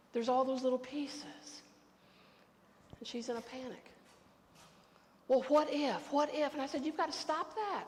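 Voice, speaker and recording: Speaking at a moderate pace with long, frequent pauses, a woman with an American accent has a high pitch, and audible room echo surrounds her voice. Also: ordinary pitch variation. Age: 60s. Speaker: pastor. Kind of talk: sermon. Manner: conversational.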